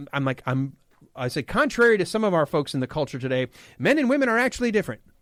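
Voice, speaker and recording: A man in a Midwestern US accent at a very fast pace, animated and passionate in tone, with very wide pitch swings and a dry, close sound with no echo. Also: very clean recording, silent background. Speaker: fill-in radio host. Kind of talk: casual talk radio chat. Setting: radio studio. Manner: animated, passionate.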